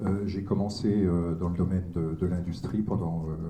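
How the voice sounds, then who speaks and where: A man speaks at a moderate pace with a very deep, low pitch and a dark, mellow, somewhat breathy tone. Audible room echo can be heard. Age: 60s. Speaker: retired social worker and local councillor. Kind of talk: speech at a political meeting. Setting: hall with audience. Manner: halting, many hesitations.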